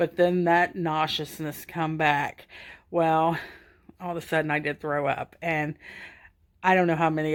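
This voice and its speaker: A woman's very deep, low, monotone voice with a slight Southern US accent, on a very clean recording with a silent background. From US South, Georgia. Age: 50s. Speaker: stroke survivor. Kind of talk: personal testimony. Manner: casual, halting.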